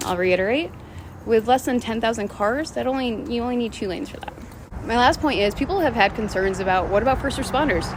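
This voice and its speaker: A speaker with an American accent talks at a very fast pace in an animated tone with lively intonation. Noticeable background noise is present. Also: woman. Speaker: city council member. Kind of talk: direct-to-camera video update. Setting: outdoors in the middle of a street.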